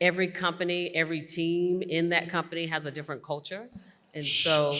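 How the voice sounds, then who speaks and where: Her tone bright and sharp, a woman speaks with monotone, flat intonation. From US South, North Carolina. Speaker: corporate executive and panelist. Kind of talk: conference panel discussion. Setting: stage with audience.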